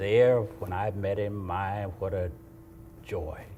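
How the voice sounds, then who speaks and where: Fairly low in pitch, a man with an American accent speaks at a fairly slow pace. Audible room echo and noticeable background noise fill the recording. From US South. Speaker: pastor. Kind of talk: testimony.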